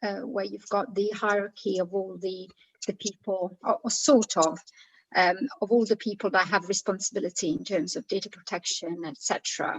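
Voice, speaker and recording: This woman speaks at a moderate pace. Her voice is somewhat breathy. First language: not English. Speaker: committee member. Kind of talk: committee meeting. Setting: video call. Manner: halting.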